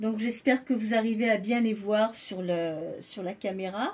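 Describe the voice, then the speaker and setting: Somewhat breathy and fairly high-pitched, a woman speaks with ordinary pitch variation on a very clean recording with a silent background. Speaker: doll collector vlogger. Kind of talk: casual show-and-tell vlog. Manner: quieter than usual; alternates French and English.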